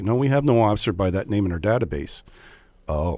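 In a Canadian accent, a man with an ordinary speaking voice talks fairly quickly at a fairly low pitch, his intonation lively. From Canada, Hamilton, Ontario. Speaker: police chief. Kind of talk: radio interview. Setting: radio studio.

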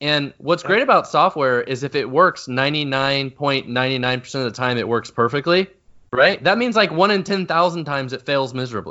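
A man speaks in a normal speaking voice, fairly high-pitched, at a fairly quick pace. His pitch variation is ordinary. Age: 30s. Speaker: software company founder and CEO. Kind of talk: interview.

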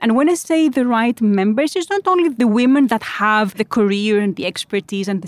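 In a very clean recording with a silent background and a dry, close sound with no echo, a woman with a Greek accent and a fairly high pitch speaks at a fairly quick pace. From Greece. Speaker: founder and CEO. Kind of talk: interview. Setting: recorded in person at a conference.

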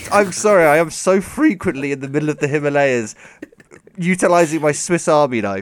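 This man has a British accent and a fairly high pitch. He sounds animated, with lively intonation and a fairly quick pace. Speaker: podcast host. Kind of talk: casual chat, comedic banter. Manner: joking, animated.

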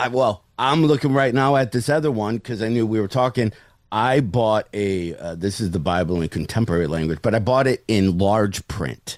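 A man's fairly low voice with lively intonation, a moderate pace and hardly any pauses. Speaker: stand-up comedian. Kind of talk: casual chat. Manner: joking, self-deprecating.

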